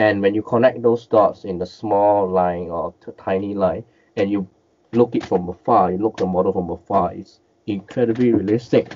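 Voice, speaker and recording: A man's fairly low voice in a Cantonese accent, at a moderate pace with fairly even intonation. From Malaysia. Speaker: miniature and collectible painter; guest. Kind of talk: interview, casual chat. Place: home room. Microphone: headset.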